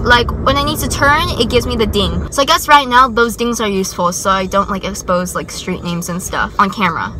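A woman's voice sounds dry with no echo, over noticeable background noise. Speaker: vlogger driving. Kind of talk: casual vlog chat. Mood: nervous, joking. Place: car. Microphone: phone near.

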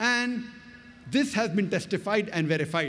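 The man speaks with lively intonation. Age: 50s. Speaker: Islamic orator and comparative religion lecturer. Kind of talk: public religious lecture. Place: stage. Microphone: podium.

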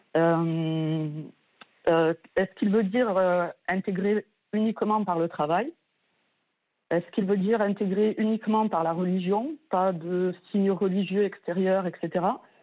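Very slowly and with long, frequent pauses, a woman speaks at a medium pitch with very even loudness. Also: fairly even intonation. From France. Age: 40s. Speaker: nurse, radio caller. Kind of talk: testimony.

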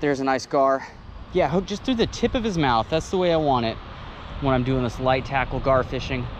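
A man speaks at a medium pitch and a fairly quick pace, with ordinary pitch variation and faint background noise.

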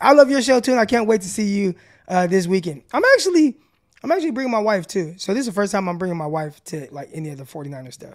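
This man talks very fast in a high voice, his pitch swinging very widely and his loudness jumping a lot. The background is quiet. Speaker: podcast host, former pro defensive back; podcast host. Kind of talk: casual sports talk show. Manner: animated. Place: home room. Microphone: studio mic.

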